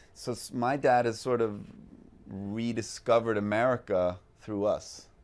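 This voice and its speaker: A man talks at a fairly slow pace. His pitch is medium and his intonation fairly even. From Sweden. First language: Swedish. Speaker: actor. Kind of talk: interview. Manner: halting, many fillers and repeats.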